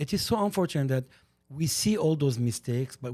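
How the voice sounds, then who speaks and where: Spoken at a fairly quick pace with an Armenian accent, the voice has a dark, mellow tone and lively intonation. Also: man. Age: 60s. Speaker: podcast guest, community commentator. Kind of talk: casual chat. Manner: animated.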